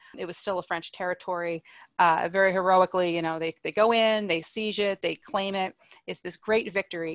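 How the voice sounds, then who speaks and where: A woman with a Canadian accent uses a normal speaking voice, talking at a fairly quick pace with fairly even intonation and a dry, close sound with no echo. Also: medium pitch for a woman. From Nova Scotia, Canada (Halifax). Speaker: historian. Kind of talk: interview.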